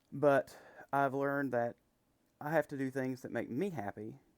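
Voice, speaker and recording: Speaking at a fairly quick pace, a man with an American accent uses a medium pitch, recorded with a dry, close sound and no echo. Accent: Appalachian hick. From West Virginia. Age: 30s. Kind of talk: casual talk to camera. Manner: hesitant, says um a lot.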